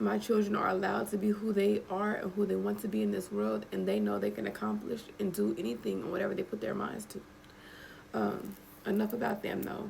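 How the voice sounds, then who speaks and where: A woman's very deep, low voice with very wide pitch swings, set against noticeable background noise. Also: fairly quick pace. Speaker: vlogger. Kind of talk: casual monologue to camera. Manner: animated.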